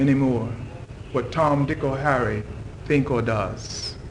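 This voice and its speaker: Noticeable background noise sits behind a man who talks very slowly. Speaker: poet, scholar and civil servant; religious follower giving a guest talk. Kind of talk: guest lecture to university class.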